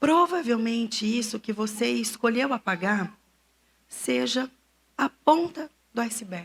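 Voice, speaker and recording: The delivery is very slow, broken by long, frequent pauses. The intonation stays lively throughout. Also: woman, fairly high pitch for a woman. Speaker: psychotherapist speaking at church. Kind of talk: church talk on emotional health.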